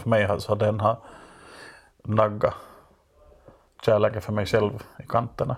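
The speaker delivers fairly quick, somewhat breathy speech with monotone, flat intonation in a very clean recording with a silent background. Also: man. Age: 30s. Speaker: writer and critic. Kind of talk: casual chat. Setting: basement room.

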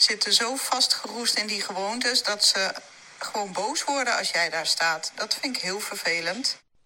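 Over noticeable background noise, a woman speaks at a fairly slow pace and a medium pitch. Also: ordinary pitch variation. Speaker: weight-loss coach. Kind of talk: interview conversation.

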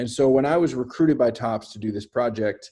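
Against a quiet background, a man with an American accent has an unremarkable speaking voice at medium pitch with ordinary pitch variation. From US West Coast, San Francisco Bay Area. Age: 30s. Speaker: artist. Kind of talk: casual interview.

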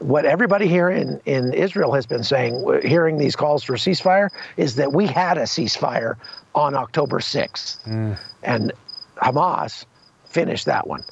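Over noticeable background noise, a man talks at a moderate pace in a fairly high voice with lively intonation. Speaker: war correspondent. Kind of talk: on-location report. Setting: remote call from outdoors.

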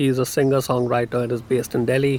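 A man with a normal speaking voice, medium in pitch, at a fairly quick pace. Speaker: moderator of a discussion panel. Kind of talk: moderated panel discussion.

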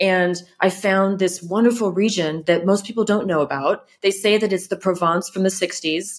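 A woman with a Californian accent at medium pitch, fairly even intonation, very even loudness and hardly any pauses. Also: moderate pace. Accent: Californian American. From California, US. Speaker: content creator and home restorer. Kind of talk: interview.

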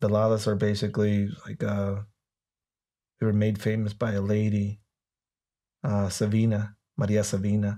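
In a very clean recording with a silent background, a man with a Spanish accent speaks in a fairly low, dark, mellow voice, monotone and flat, with long, frequent pauses. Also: moderate pace, very even loudness. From Mexico, Tijuana. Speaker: former police officer and cartel expert. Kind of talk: interview conversation.

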